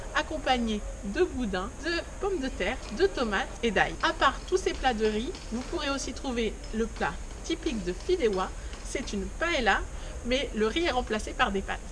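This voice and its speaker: A woman speaks at a fairly slow pace, her pitch swinging very widely. Long, frequent pauses break up her speech over noticeable background noise. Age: 30s. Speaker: vlogger. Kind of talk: presenting to camera. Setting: outdoors.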